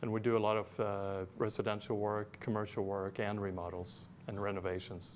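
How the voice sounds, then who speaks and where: A man's fairly low voice with a Swedish accent, moderate in pace, monotone and flat, with hardly any pauses. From Sweden. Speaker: architect and interior designer. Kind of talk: interview. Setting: studio.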